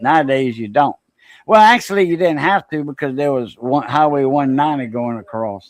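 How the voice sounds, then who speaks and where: A man with a Louisiana accent speaks at a moderate pace and a fairly high pitch, with ordinary pitch variation and a quiet background. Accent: Cajun Louisiana. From Southwest Louisiana (Cajun coast, south of Lafayette). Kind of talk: casual chat.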